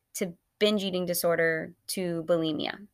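A plain, everyday voice from a woman at medium pitch and moderate pace, on a very clean recording with a silent background. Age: 20s. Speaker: dietitian podcast host. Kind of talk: personal testimony.

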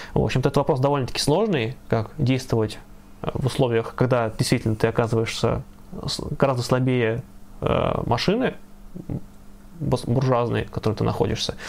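The voice carries vocal fry, with loudness that stays very even. It moves at a moderate pace with long, frequent pauses. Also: man, medium pitch for a man, ordinary pitch variation. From Russia, Ivanovo. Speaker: leftist activist and stream co-host. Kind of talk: live stream discussion.

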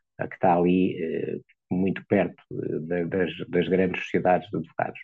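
The voice belongs to a man with a very deep, low pitch. He talks at a moderate pace. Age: 60s. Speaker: lawyer. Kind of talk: interview.

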